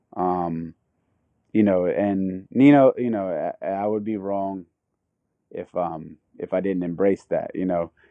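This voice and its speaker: Long, frequent pauses break up speech in a Philadelphia accent. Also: man, fairly low pitch for a man, fairly even intonation, fairly slow pace. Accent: Philadelphia American. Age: 30s. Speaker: skateboarder and clothing designer. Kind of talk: interview. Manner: halting, many fillers.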